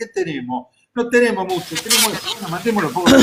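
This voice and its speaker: A man with an Argentine accent talks at a very fast pace, his intonation lively. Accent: Rioplatense Argentine Spanish. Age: 60s. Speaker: expert commentator. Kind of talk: casual chat. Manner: animated.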